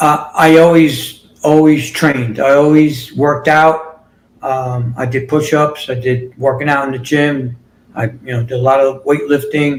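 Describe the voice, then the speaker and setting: A man speaks with a New York accent in a monotone, flat intonation. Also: fairly high pitch for a man, fairly slow pace. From New York City. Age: 60s. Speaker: fitness and healing coach. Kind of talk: interview. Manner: halting.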